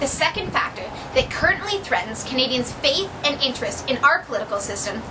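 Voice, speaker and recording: Fairly quick and lively in intonation, a woman speaks with a high pitch. Noticeable background noise is heard. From Ontario, Canada. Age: 20s. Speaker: university student. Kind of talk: prepared speech. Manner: formal.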